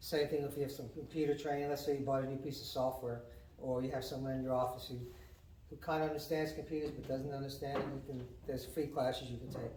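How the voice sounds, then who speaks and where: Amid noticeable background noise and audible room echo, a man with a fairly high voice talks very fast in a flat monotone. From New England. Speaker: county economic development director. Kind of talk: informational talk at a business meeting. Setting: community meeting with audience.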